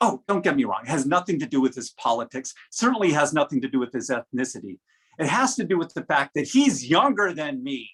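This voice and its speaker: A man talks at a moderate pace with very wide pitch swings. The sound is dry and close, with no echo. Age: 60s. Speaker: humorous speech contestant. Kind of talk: humorous speech.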